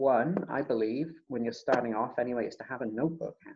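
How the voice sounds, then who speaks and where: The speaker is a man. He talks fairly quickly. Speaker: birding workshop facilitator. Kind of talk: online presentation. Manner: quiet. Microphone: laptop mic at max, too quiet.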